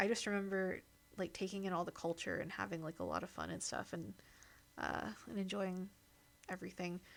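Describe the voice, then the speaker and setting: With an American accent, a woman speaks at a medium pitch and a fairly quick pace, leaving long, frequent pauses. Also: fairly even intonation. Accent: American accent noticed by locals abroad. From US Midwest. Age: 30s. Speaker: streamer. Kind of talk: casual chat. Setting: live stream. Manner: hesitant, many fillers.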